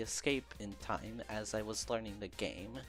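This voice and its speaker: Over music in the background, someone with a non-native accent speaks at a moderate pace. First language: not English. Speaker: video essay narrator, gamer. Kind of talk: scripted video essay narration. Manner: some stumbles and stutters.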